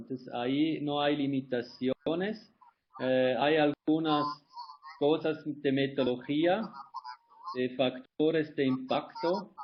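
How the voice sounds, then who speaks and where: A man talks at a very slow pace. His pitch is fairly high. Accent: non-native. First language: not Spanish (speaking Spanish). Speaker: environmental consultant. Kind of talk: webinar Q&A. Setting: online webinar. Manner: halting.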